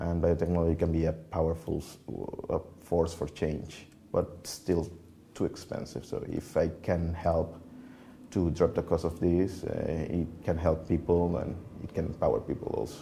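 Speaking at a moderate pace in a Spanish accent, a man has a very deep, low pitch, a dark, mellow tone, a somewhat breathy quality and monotone, flat intonation over light background noise. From Venezuela, Merida (Andes); Venezuela. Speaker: computational biologist; interviewee. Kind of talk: interview. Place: office. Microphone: lapel.

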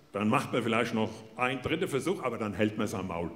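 Light background noise under a man speaking at a moderate pace. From Hesse, Germany. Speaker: comedian. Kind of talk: motivational stage talk. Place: stage. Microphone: handheld.

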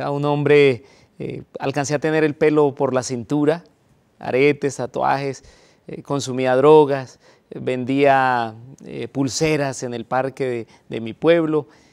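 Against a quiet background, a man with a fairly high pitch talks at a very slow pace, his intonation fairly even and his loudness swinging widely. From Colombia. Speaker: pastor. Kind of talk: testimony. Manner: halting with frequent fillers. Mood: reflective personal testimony. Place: studio. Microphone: lapel.

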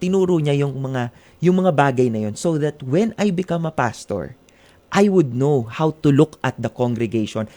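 A man's fairly high voice with a dark, mellow tone, lively intonation and a fairly slow pace. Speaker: pastor. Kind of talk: interview testimony.

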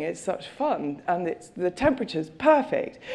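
At a moderate pace, a woman speaks with a dark, mellow tone, vocal fry and lively intonation.

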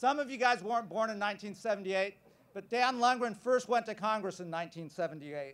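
With an American accent, a man talks at a fairly slow pace. His voice is high, with ordinary pitch variation. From California. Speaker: congressional candidate and physician. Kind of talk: rally speech. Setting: outdoor campus quad with a large crowd. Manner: earnest, emphatic, campaign-style delivery with repeated parallel phrases. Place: stage. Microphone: podium.

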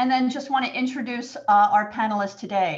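A woman talks at a fairly quick pace in a somewhat breathy voice. Her pitch varies in an ordinary way over a quiet background. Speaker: webinar moderator. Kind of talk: webinar introduction. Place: home room. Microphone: webcam.

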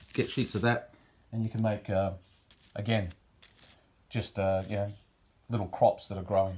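A man with an Australian accent sounds somewhat breathy. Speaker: wargaming hobbyist. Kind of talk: tutorial. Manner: hesitant, many fillers. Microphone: phone near.

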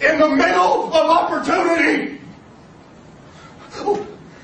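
Over noticeable background noise, a man with an American accent speaks fairly slowly in an enthusiastic, intense tone. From Ohio, USA. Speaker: local politician. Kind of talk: campaign speech. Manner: over-enthusiastic, intense.

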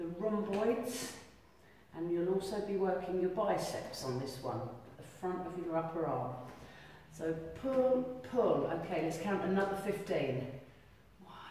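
A woman's lively, fairly slow delivery with long, frequent pauses, strong room echo and light background noise. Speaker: fitness instructor. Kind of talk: exercise class instruction. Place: hall. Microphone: camera far.

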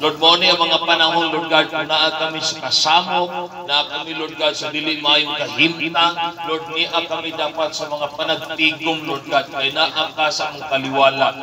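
A man speaks at a moderate pace in a flat, monotone delivery. There is noticeable noise in the background. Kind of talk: prayer. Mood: fervent, devotional. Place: church.

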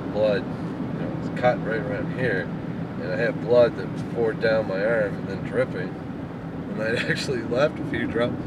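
Loud background noise surrounds a man speaking. His pace is moderate, with ordinary pitch variation. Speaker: driver vlogger. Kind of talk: casual vlog chat. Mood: relaxed, amused storytelling. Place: car. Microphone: phone near.

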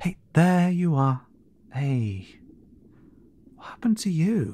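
A man puts on a character voice with a fairly high pitch and a dark, mellow tone. He speaks slowly, with big pitch swings.

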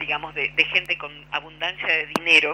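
A woman's bright, sharp tone at a moderate pace

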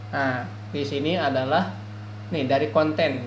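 A man speaks over light background noise. Room echo is audible. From Indonesia, West Java (Ciamis). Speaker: crypto project reviewer, YouTuber. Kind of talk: screen-share tutorial review. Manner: halting, many fillers. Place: home room.

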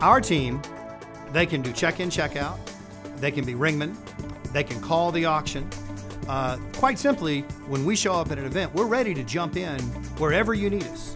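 Clear music plays in the background as a man talks at a moderate pace with long, frequent pauses. His fairly high pitch carries lively intonation. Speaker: charity benefit auctioneer. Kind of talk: promotional interview talk to camera. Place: studio.

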